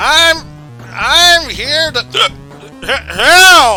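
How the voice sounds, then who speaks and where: Clear music plays behind a man doing a put-on character voice. His pitch is extremely high. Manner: slurred, slurring speech.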